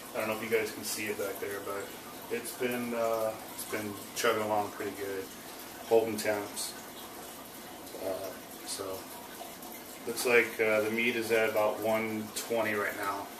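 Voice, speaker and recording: Over noticeable background noise and audible room echo, a man speaks in a fairly low, monotone, flat voice with long, frequent pauses. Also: moderate pace. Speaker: home cook showing barbecue. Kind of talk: cooking tutorial. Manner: talking low; casual with many fillers.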